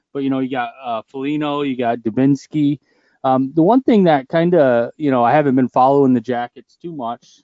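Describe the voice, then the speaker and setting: Using an ordinary speaking voice, a man talks at medium pitch and a moderate pace with fairly even intonation. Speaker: podcast co-host. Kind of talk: casual banter.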